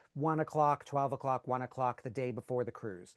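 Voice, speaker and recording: A man's voice, dry and close with no echo, with ordinary pitch variation against a quiet background. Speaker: cruise group organizer. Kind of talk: online orientation presentation. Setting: video call. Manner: fast.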